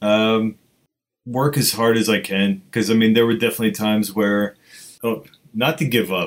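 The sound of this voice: With fairly even intonation, the man talks at a fairly low pitch.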